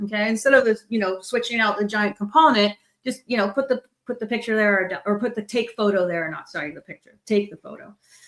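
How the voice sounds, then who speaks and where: A woman's fairly high voice at a very fast pace, with ordinary pitch variation. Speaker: tech product manager presenting a talk. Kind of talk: conference tech talk with live demo. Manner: casual, many fillers.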